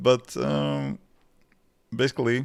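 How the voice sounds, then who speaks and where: This is a man speaking. He talks with a Latvian accent. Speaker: programming YouTuber. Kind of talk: live stream Q&A chat. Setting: live stream at home desk. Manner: not too fast, simple phrasing; halting with fillers.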